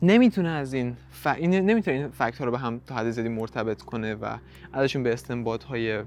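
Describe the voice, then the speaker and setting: Very fast speech from a man, his pitch variation ordinary. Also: medium pitch for a man. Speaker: podcast host. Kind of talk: solo podcast monologue.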